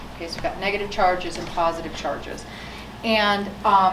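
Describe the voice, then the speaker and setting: A woman talks at a moderate pace and medium pitch with ordinary pitch variation. Noticeable background noise and audible room echo surround her. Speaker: scientist giving a public talk. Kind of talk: public science talk. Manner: loud; casual, with fillers.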